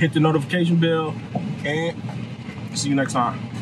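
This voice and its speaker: At a moderate pace, the voice comes through with a dry sound, no echo, and noticeable background noise. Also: man. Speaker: food reviewer. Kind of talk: casual vlog chat. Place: car. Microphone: phone near.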